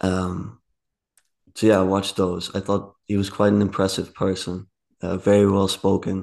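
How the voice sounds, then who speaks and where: A man speaks with a Dutch accent at a fairly low pitch and a moderate pace, his intonation monotone and flat against a quiet background. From Netherlands, rural area. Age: 20s. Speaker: podcast guest. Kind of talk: casual interview conversation.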